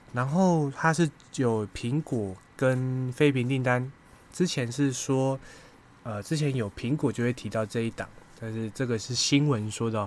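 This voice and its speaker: Medium-pitched male speech at a fairly slow pace with ordinary pitch variation. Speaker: investing podcaster. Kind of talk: casual monologue on stock research. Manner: hesitant with many fillers.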